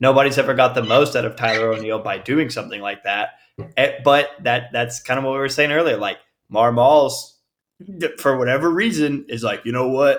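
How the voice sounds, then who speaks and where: This man has a plain, everyday voice at medium pitch with ordinary pitch variation. He talks at a fairly quick pace. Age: 20s. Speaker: baseball fan, podcast guest. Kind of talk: casual chat.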